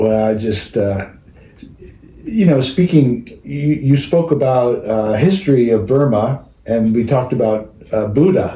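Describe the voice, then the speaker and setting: In a room with audible echo, a man speaks at a fairly slow pace and medium pitch, his dark, mellow tone somewhat breathy and his pitch varying in an ordinary way. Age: 60s. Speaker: interviewer. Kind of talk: casual chat.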